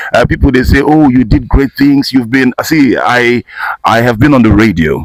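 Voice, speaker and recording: A man's medium-pitched voice with vocal fry, ordinary pitch variation, a moderate pace and very even loudness. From Nigeria, Igbo from Imo State. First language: Igbo. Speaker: voice-over artist and actor. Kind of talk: casual interview. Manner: animated.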